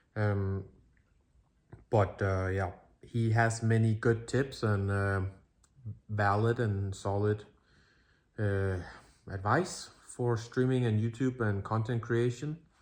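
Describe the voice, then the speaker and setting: Long, frequent pauses break up a man's very slow speech in a non-native accent. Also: fairly low pitch for a man, fairly even intonation. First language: not English. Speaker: streamer and vlogger. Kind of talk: casual talk to camera. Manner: halting, many fillers.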